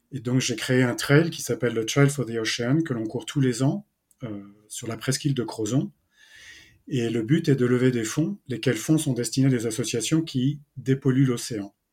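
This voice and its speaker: In a very clean recording with a silent background, a man with a medium pitch and a somewhat breathy voice speaks at a moderate pace with ordinary pitch variation. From France, Brittany. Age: 50s. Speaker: entrepreneur and ocean conservation association founder. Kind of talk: interview. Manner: halting, many hesitations.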